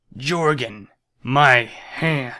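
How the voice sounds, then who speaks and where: A man puts on a character voice, raspy and guttural, at a medium pitch. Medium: game stream. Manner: slow, repetitive, emotionless.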